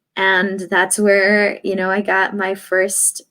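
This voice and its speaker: A woman's medium-pitched voice with a Spanish accent, at a fairly slow pace. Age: 30s. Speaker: radio journalist. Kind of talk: interview. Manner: hesitant, many fillers.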